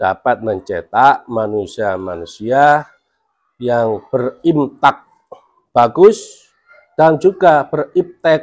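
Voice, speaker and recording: A man with lively intonation. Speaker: school principal. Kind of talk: interview discussion. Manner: formal.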